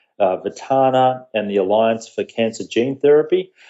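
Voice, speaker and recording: A man talks at a fairly quick pace with a medium-pitched voice. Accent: Australian. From Australia. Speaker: social media marketing entrepreneur. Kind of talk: podcast interview.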